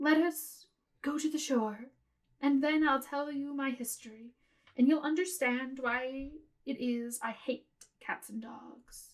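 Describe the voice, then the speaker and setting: A shaky, put-on character voice at a fairly slow pace. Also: woman, high pitch for a woman. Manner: low and trembling with passion.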